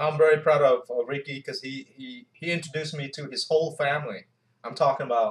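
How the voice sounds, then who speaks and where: A man speaks at a fairly quick pace. He has a non-native accent. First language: not English. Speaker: Navy veteran, YouTuber. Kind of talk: casual chat. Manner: halting.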